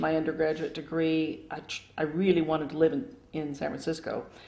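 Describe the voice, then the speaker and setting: Vocal fry runs through a woman's very deep, low voice as she speaks at a fairly quick pace. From Phoenix, Arizona, US Southwest. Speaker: retired local government staff member. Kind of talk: oral history interview. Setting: at home.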